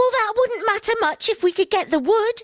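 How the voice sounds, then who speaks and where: A woman puts on a squeaky character voice at an extremely high pitch, with ordinary pitch variation, very even loudness and a moderate pace, in a dry, close sound with no echo. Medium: read story. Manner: sharp, scornful.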